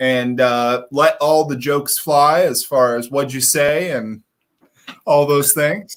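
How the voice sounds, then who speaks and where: A man's voice at a fairly slow pace, with ordinary pitch variation. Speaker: hearing care practitioner. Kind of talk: live stream whisky tasting chat. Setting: own office. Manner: loud.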